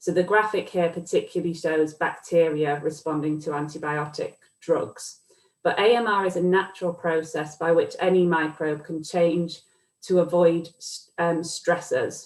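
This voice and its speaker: With a British accent, a woman speaks at a fairly low pitch. Her pace is moderate and her intonation fairly even. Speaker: academic researcher. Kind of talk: lecture. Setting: video call.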